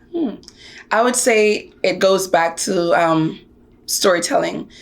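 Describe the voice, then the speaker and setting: With an American accent, a woman talks at a very slow pace using lively intonation. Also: medium pitch for a woman. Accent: Jamaican accent, trained to American. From Jamaica. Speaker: actor and activist. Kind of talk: interview.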